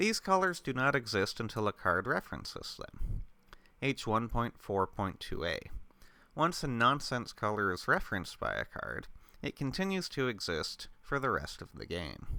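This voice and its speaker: At a moderate pace, a man speaks in a bright, sharp tone at a medium pitch, with vocal fry and very wide pitch swings. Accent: Canadian. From Canada. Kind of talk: ASMR rules reading. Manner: calm, steady.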